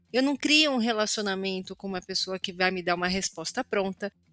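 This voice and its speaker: A woman talks at a moderate pace with very wide swings in pitch. The sound is dry and close with no echo, and music plays behind her. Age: 40s. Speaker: communication consultant and educator. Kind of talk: interview.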